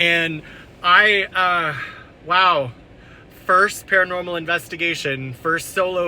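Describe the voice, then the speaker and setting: A man is heard talking amid noticeable background noise. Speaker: paranormal investigator YouTuber. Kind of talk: vlog, on-location investigation recap. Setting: in a car. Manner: loud, yelling.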